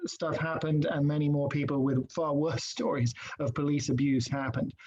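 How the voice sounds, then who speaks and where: Speaking at a moderate pace, a man with an English accent has a fairly high pitch and fairly even intonation. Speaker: non-profit executive director. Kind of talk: interview. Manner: halting, many fillers.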